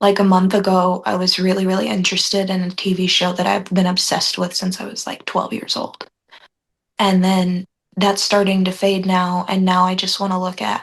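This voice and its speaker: Somewhat breathy and at a medium pitch, a woman speaks at a moderate pace with flat, monotone intonation. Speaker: spiritual group meeting participant. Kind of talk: casual chat. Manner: hesitant, many fillers.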